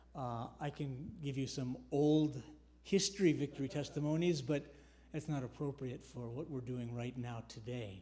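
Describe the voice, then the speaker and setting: At a moderate pace, a somewhat breathy voice shows ordinary pitch variation. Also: man, fairly high pitch for a man. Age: 70s. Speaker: church member giving testimony. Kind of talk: testimony. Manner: halting, many fillers.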